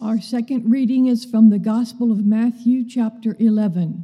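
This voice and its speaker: A fairly slow, fairly high-pitched woman's voice, a normal speaking voice. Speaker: scripture reader. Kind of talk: reading aloud. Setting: church.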